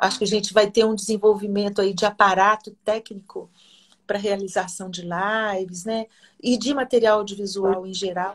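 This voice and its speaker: Monotone, flat intonation at a moderate pace, with big swings in loudness. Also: woman. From Minas Gerais, Brazil (Oliveira). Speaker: singer and researcher. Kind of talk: interview.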